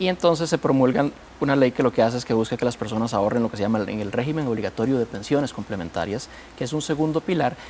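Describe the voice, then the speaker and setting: Over light background noise, a man with a medium pitch speaks at a very fast pace with lively intonation. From Costa Rica. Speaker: pension regulator official; guest. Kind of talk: TV panel discussion. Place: studio. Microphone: lapel.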